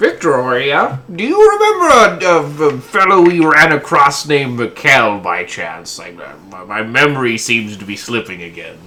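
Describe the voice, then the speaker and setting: A man puts on a character voice at a fairly high pitch. He keeps a moderate pace with hardly any pauses. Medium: actual play. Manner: rambling, bewildered.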